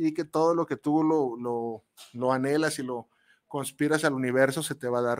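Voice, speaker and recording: A man at a fairly slow pace in a very clean recording with a silent background. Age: 40s. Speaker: radio host and chef. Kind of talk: casual radio monologue. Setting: radio studio booth. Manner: animated, halting with repetitions.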